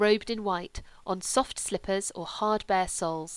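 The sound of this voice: Pitch shifts in an ordinary way as an unforced reading voice goes on.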